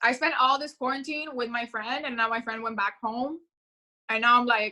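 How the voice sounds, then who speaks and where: High-pitched female speech with a bright, sharp tone. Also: fairly even intonation, moderate pace. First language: Spanish. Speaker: upcoming music artist. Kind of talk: casual chat.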